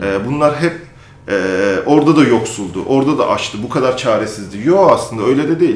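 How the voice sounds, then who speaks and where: A man speaks at a fairly quick pace with lively intonation and a fairly high pitch. Noticeable background noise and audible room echo are in the recording. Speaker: magazine editor-in-chief. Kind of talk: interview conversation.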